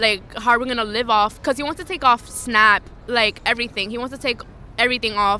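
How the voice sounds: A woman speaks at a fairly quick pace with a fairly high pitch. Her tone is bright and sharp, the intonation fairly even.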